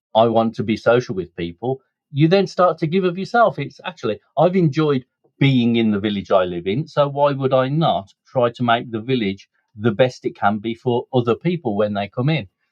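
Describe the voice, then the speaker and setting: Medium-pitched man with a Birmingham accent, at a moderate pace. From Birmingham, England. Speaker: businessman and community volunteer. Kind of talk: podcast interview.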